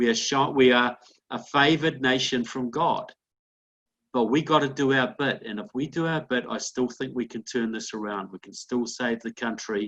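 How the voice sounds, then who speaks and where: A man with an American accent speaks in a normal speaking voice at a medium pitch. His pace is moderate and his pitch variation ordinary. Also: big swings in loudness. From outside the United States. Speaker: political commentator. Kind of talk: interview. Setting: conference call.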